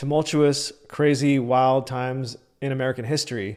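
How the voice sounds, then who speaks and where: A man with a plain, everyday voice speaks at a moderate pace in a fairly high pitch. His intonation is fairly even, and the recording is very clean with a silent background. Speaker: podcast host. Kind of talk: podcast intro.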